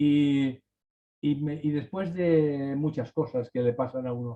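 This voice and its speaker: A man speaks with a fairly high pitch and a dark, mellow tone. His pitch varies in an ordinary way. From Spain, Valencia region. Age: 60s. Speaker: writer. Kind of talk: casual chat. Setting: video call. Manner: halting.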